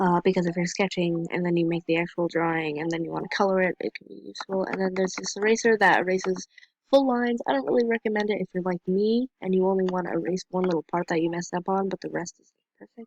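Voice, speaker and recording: A woman talks at a very fast pace in a medium pitch, her pitch varying in an ordinary way. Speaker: amateur artist reviewing apps. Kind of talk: casual tutorial review. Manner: hesitant, many fillers.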